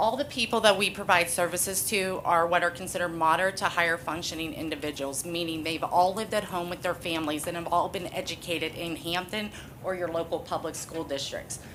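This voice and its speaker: Amid noticeable background noise and audible room echo, the speaker races along at a very fast pace with hardly any pauses and ordinary pitch variation. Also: woman, fairly low pitch for a woman. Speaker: nonprofit CEO. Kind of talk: public comment at council meeting. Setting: council meeting hall. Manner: loud.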